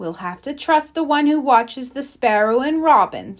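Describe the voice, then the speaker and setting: A woman puts on a character voice. Her pitch sits high, and she talks at a moderate pace. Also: lively intonation. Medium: read story. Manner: calm, reassuring.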